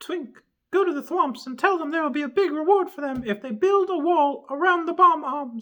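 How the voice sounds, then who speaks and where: Using a put-on character voice, a man speaks at a moderate pace with an extremely high, squeaky pitch. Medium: read story. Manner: bossy, decisive.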